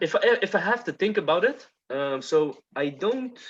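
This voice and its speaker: A man's voice with very wide pitch swings against a quiet background. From Netherlands. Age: 30s. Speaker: podcast host. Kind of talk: casual chat.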